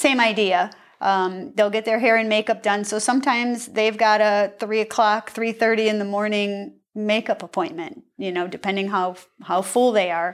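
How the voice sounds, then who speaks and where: A woman's fairly high, plain, everyday voice, fairly even in intonation, at a moderate pace on a very clean recording with a silent background. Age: 50s. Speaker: bodybuilding competitor. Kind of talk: interview.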